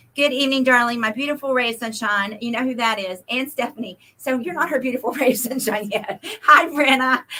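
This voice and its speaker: In an American accent, a woman with a high voice talks at a fairly quick pace with hardly any pauses and ordinary pitch variation. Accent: Oklahoma and Texas Southern. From Oklahoma / Texas. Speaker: livestream host selling paint. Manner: fast talker.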